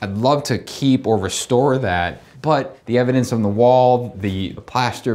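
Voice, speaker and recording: A man talks with ordinary pitch variation. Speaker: contractor. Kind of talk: walkthrough commentary. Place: kitchen.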